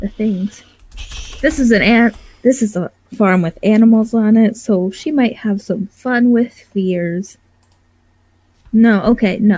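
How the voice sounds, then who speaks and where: A woman's fairly high voice has a dark, mellow tone and is somewhat breathy. She talks at a fairly slow pace with long, frequent pauses. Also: ordinary pitch variation. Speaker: role-playing game player. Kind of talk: casual chat.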